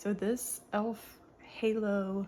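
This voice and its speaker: Soft-spoken, a woman talks in a dark, mellow tone at a medium pitch. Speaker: beauty vlogger. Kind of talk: get-ready-with-me tutorial. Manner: casual.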